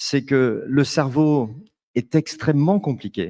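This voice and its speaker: In a French accent, a man speaks fairly slowly at a fairly high pitch, with ordinary pitch variation and a dark, mellow tone. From France. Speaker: management consultant. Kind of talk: panel discussion. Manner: halting.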